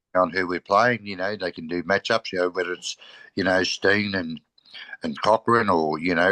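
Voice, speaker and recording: A man's very deep, low voice with an Australian accent, fairly quick pace, fairly even intonation, and a dry, close sound with no echo. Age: 60s. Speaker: football podcast co-host. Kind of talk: casual chat.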